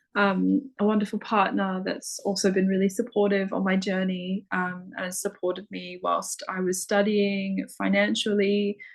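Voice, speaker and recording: Her intonation is monotone and flat. The woman speaks with hardly any pauses. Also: medium pitch for a woman, moderate pace. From Australia. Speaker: spiritual practitioner. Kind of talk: casual chat.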